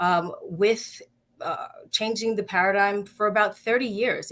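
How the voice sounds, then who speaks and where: A woman with a New York accent speaks at medium pitch with ordinary pitch variation. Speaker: nonprofit health organization CEO. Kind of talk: live-streamed interview. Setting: Facebook Live video stream.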